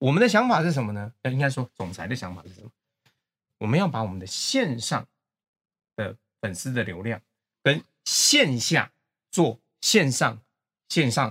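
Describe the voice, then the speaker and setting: A man with a medium pitch talks with very wide pitch swings, big swings in loudness and long, frequent pauses, in a dry, close sound with no echo. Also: moderate pace. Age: 50s. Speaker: company executive. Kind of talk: casual interview chat.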